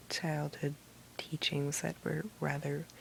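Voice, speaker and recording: The speaker is soft-spoken and whispering. The pace is very slow. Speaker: ASMR video maker. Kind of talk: ASMR soft-speaking video to help with sleep. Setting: recorded at night while trying to sleep. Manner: soft-spoken, whispery.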